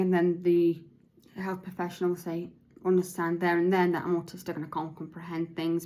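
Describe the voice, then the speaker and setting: In a fairly low pitch, a woman talks at a fairly quick pace with monotone, flat intonation. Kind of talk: podcast monologue, partly read from notes. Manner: slurred, halting speech.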